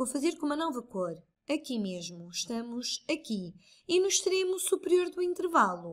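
On a very clean recording with a silent background, a woman speaks in a European Portuguese accent with very wide pitch swings. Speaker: math tutor. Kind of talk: tutorial.

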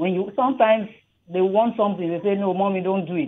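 A woman speaks with a Nigerian accent. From southern Nigeria. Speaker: radio caller, mother; radio guest. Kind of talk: radio call-in opinion. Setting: phone call. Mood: earnest, warm. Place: studio.

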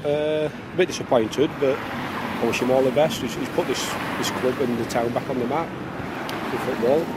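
At a moderate pace, a medium-pitched man speaks with ordinary pitch variation over clear background noise.

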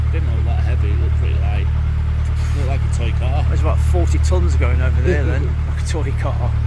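Speech at a moderate pace comes through loud background noise, the sound dry with no echo. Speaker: narrowboat vlogger. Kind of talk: casual vlog chat. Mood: jokey, laughing banter. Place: boat. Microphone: phone near.

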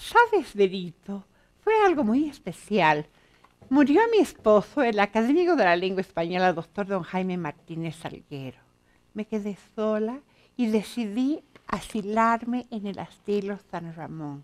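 Speaking fairly slowly, a woman uses lively intonation at medium pitch, with big swings in loudness. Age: 60s. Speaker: author and pedagogue; interviewee. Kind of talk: interview. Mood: warm, reflective. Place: studio.

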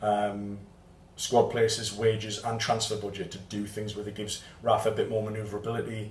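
In a Geordie accent, a man talks at a fairly quick pace, with audible room echo and noticeable background noise. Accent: Geordie (Newcastle) English. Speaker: football fan channel host. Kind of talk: match report to camera. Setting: outdoors in Porto after the match. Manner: halting, many fillers.

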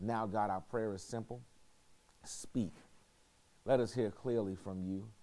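At a moderate pace, a man talks in a fairly low pitch with a dark, mellow tone and fairly even intonation. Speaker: pastor leading bible study. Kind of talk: prayer and church announcements. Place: hall.

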